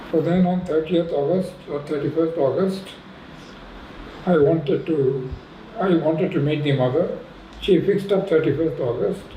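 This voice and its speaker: Noticeable background noise and audible room echo surround a man with a fairly high pitch and ordinary pitch variation, who speaks at a moderate pace with long, frequent pauses. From India, raised in Pondicherry. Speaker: retired professor. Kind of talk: interview reminiscence.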